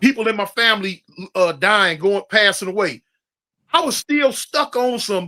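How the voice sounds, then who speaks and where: A man speaks at a fairly slow pace in a high, bright, sharp voice, raised and projected, with lively intonation and long, frequent pauses. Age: 60s. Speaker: former gang member and ex-prisoner. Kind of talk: interview conversation. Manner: casual, storytelling.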